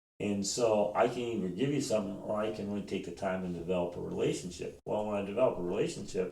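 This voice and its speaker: Speaking at a very fast pace with hardly any pauses, a man uses ordinary pitch variation at a fairly low pitch, with audible room echo around him. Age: 50s. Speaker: homeless shelter director. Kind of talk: podcast interview.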